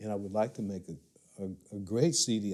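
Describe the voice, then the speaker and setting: A man with an American accent speaks at a moderate pace in a fairly low pitch, with a dark, mellow tone and ordinary pitch variation. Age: 70s. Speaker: blues musician. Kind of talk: interview.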